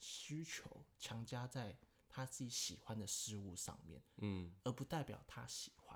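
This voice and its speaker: This man talks at a very slow pace in a somewhat breathy, medium-pitched voice with lively intonation. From Taiwan. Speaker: podcast guest, host's childhood friend. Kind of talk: casual chat.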